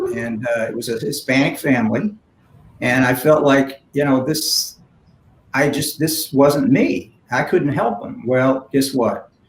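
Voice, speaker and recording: A man speaks at a fairly slow pace in a fairly high, somewhat breathy voice with ordinary pitch variation. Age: 60s. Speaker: philanthropist and community leader. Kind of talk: panel conversation. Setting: virtual event.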